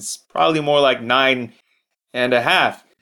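This man's voice is raised and projected. His tone is bright and sharp, at a moderate pace. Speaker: podcast host. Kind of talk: scripted intro and outro.

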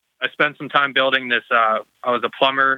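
Fairly quick speech from a man. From South Dakota. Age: 20s. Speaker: podcaster. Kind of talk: casual chat.

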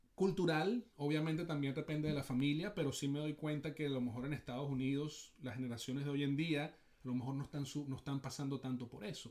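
A man's fairly high voice at a fairly quick pace, with ordinary pitch variation, hardly any pauses and a normal speaking voice. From Venezuela. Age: 40s. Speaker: sports psychology coach. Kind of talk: casual chat.

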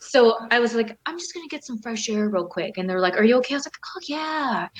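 A high-pitched woman with an American accent and lively intonation. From Southern California. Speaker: retired professional wrestler and model. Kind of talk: interview.

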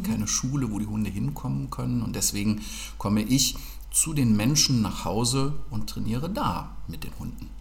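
A man speaks at a moderate pace. Room echo can be heard in the recording. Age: 40s. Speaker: dog trainer. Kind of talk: casual interview.

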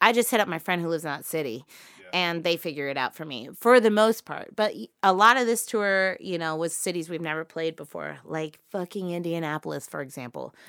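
A woman with a plain, everyday voice talks at a fairly quick pace and a fairly low pitch, with lively intonation and big swings in loudness, on a very clean recording with a silent background. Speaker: touring musician. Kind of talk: casual chat.

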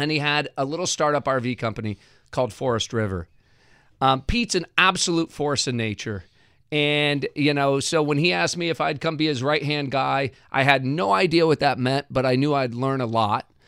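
In an American accent, the speaker has a bright, sharp tone and ordinary pitch variation at a moderate pace, on a very clean recording with a silent background and a dry, close sound with no echo. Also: man, fairly high pitch for a man. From rural Indiana, US Midwest. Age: 50s. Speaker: tech investor. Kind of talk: interview conversation.

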